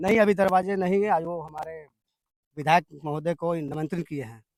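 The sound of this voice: At a moderate pace, a man talks in a fairly high, slightly mellow voice with fairly even intonation, the sound dry and close with no echo.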